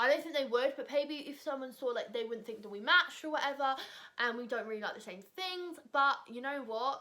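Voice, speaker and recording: A raised, projected voice with a bright, sharp tone and a British accent moves at a fairly quick pace. Its loudness swings widely. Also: woman, high pitch for a woman, ordinary pitch variation. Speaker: vlogger. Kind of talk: casual chat.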